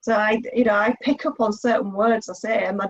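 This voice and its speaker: A woman speaks in a fairly high voice that is somewhat breathy. Her intonation stays fairly even. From Yorkshire, England. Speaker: interviewer. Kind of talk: interview.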